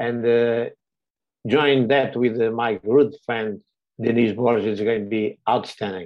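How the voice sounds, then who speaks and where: Speaking fairly slowly with a Portuguese accent, a man keeps a medium pitch and fairly even intonation. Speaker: director of a community organization. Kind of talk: webinar presentation. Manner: halting, many fillers.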